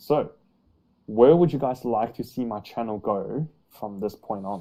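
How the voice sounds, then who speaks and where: With an Australian accent, a man speaks in a medium-pitched voice with a dark, mellow tone and ordinary pitch variation, recorded very cleanly against a silent background. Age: 20s. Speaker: YouTuber on height growth. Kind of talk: casual interview chat. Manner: hesitant, many fillers.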